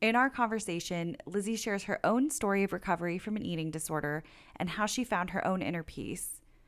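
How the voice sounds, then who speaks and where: A woman with a plain, everyday voice at medium pitch talks at a fairly quick pace on a very clean recording with a silent background. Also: lively intonation. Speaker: podcast host. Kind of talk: interview, friendly casual chat. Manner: warm, upbeat.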